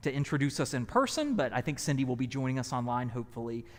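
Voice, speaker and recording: On a very clean recording with a silent background, a man with a Southern US accent talks at a very fast pace, his medium pitch showing ordinary pitch variation. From US South. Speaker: pastor. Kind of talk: event introduction. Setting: church hall, live streamed.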